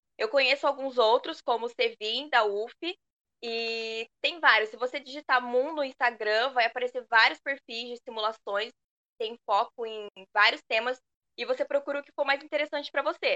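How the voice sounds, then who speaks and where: Dry and close with no echo, a woman's high, bright, sharp voice shows big swings in loudness. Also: ordinary pitch variation, moderate pace. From Pindamonhangaba, São Paulo state, Brazil. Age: 20s. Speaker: university student. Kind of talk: casual interview.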